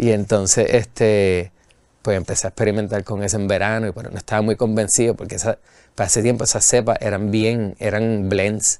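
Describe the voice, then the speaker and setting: The man's fairly low voice runs monotone and flat at a fairly quick pace. The sound is dry with no echo, and the background is quiet. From Puerto Rico. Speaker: brewery owner and brewer; guest. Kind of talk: casual interview chat. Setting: studio. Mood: relaxed, friendly storytelling. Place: studio.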